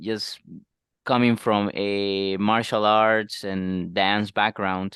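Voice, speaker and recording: Very slow, flat monotone from a man with a non-native accent and fairly low pitch. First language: not English. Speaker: dating podcast co-host. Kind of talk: casual chat. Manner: halting.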